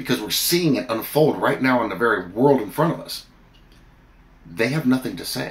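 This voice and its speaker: Using lively intonation, a man speaks at a moderate pace and a medium pitch. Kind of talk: fervent prayer addressed to God. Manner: earnest, pleading, heartfelt; animated, storytelling with comic asides. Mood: earnest, fervent. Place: home room. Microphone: phone near.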